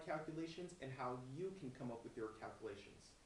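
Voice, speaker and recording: Audible room echo surrounds a voice with ordinary pitch variation, moving at a moderate pace. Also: man. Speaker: forex trading instructor. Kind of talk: tutorial.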